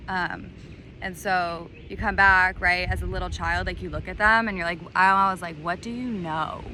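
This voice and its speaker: Audible room echo surrounds a woman as she speaks. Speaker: spiritual coach. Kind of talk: personal monologue. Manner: hesitant, many fillers.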